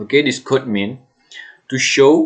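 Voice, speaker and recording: A man talks with an Indonesian accent. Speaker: student. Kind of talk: tutorial. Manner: halting.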